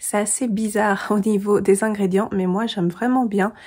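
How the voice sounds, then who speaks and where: A woman with a somewhat breathy, medium-pitched voice is heard in a very clean recording with a silent background. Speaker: booktuber. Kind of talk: casual book review vlog. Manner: hesitant, many filler sounds.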